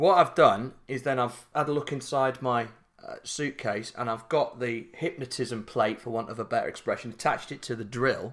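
With a South Yorkshire accent, a man speaks at a moderate pace and medium pitch, his intonation fairly even. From Yorkshire, Barnsley. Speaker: podcast co-host. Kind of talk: casual comedic chat.

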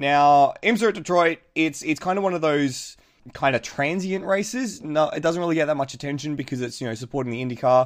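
The speaker talks at a fairly quick pace with an Australian accent against a quiet background. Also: man. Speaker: motorsport podcast host. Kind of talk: casual chat.

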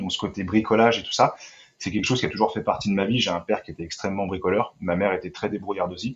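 With fairly even intonation, a man talks very fast in a fairly low pitch. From Île-de-France, France. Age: 30s. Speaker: van conversion craftsman. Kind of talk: interview. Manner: hesitant with frequent fillers.

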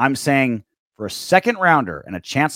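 Pitch swings very widely as a man speaks over a silent background in a very clean recording. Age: 40s. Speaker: sports podcast host. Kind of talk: casual chat.

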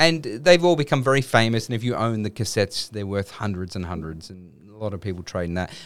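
A man with an Australian accent, fairly low in pitch, at a very fast pace, with very wide pitch swings and big swings in loudness, on a very clean recording with a silent background. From Western Sydney, Australia. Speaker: filmmaker. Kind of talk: casual chat. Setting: studio.

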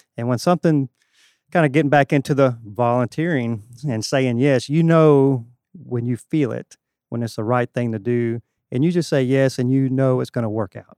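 In a Southern US accent, a man with a dark, mellow tone speaks at a moderate pace, the sound dry and close with no echo over a quiet background. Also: medium pitch for a man, ordinary pitch variation. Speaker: church volunteer bass player. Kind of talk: testimony.

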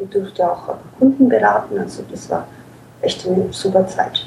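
Fairly slow woman's speech amid noticeable background noise. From Ukraine. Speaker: SEO manager. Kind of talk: interview.

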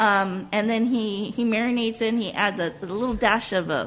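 At a medium pitch and with fairly even intonation, a woman speaks in a Southern California accent. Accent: Southern Californian English. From US West Coast (Whittier, Southern California). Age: 40s. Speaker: restaurant owner. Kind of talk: casual interview. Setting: on location in a restaurant.

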